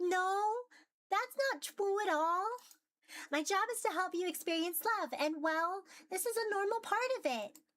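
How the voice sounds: In a put-on, squeaky character voice that sounds female, the speaker hits an extremely high pitch at a moderate pace, with long, frequent pauses.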